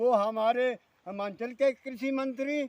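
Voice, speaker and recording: A man speaks at an extremely high pitch. The sound is dry and close, with no echo. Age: 70s. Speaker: farmer. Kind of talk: angry public complaint to camera. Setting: outdoors in a field. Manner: animated.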